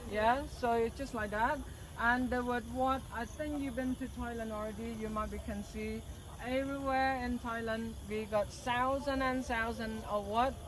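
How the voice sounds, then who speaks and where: A speaker with a Cambodian accent uses monotone, flat intonation, heard with audible room echo and noticeable background noise. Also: woman, fairly high pitch for a woman, moderate pace. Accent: Cambodian (Khmer). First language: Khmer. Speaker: tour guide. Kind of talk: guided tour explanation. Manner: halting.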